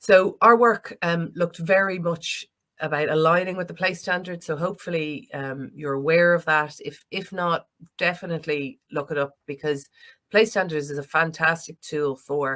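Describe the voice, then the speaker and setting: Moderate pace and an Irish accent. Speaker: planning consultant. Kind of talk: conference presentation. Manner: hesitant, many fillers.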